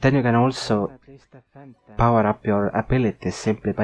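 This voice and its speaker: A man speaks in a fairly low voice at a moderate pace. Background music accompanies him, and his pitch varies in a typical way. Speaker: gaming video creator. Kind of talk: unscripted game review narration.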